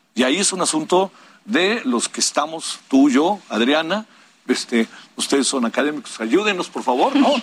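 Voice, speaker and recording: Very wide pitch swings at a moderate pace. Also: man, fairly high pitch for a man. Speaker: journalist and broadcaster. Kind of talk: panel discussion.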